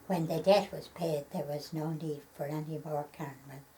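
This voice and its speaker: A woman's very deep, low voice, dark and mellow and somewhat breathy, monotone and flat at a moderate pace. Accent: Irish. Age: 90s. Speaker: elderly local interviewee. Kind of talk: reading aloud; oral history interview. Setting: at her home. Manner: halting.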